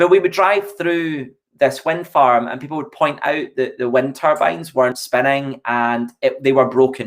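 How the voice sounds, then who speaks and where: With a Scottish accent, a man talks at a moderate pace and fairly high pitch. He uses ordinary pitch variation and hardly any pauses. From Scotland, Largs (Ayrshire). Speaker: EV company representative. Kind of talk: casual chat.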